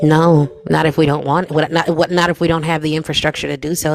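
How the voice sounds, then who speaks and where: At a fairly quick pace, the talking continues while noticeable background noise is heard. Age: 30s. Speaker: political debate streamer. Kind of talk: heated debate. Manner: animated.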